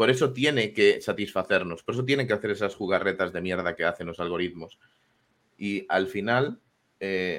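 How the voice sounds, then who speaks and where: Speech at a fairly quick pace on a very clean recording with a silent background. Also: man. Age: 20s. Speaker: programmer and co-host. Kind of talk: casual chat. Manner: animated.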